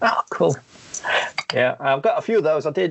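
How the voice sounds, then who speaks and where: A man talks with a Sheffield accent. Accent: regional Sheffield. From northern England, Sheffield, Yorkshire. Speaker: sketch card artist and cartoonist. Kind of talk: casual chat. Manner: hesitant, many ums.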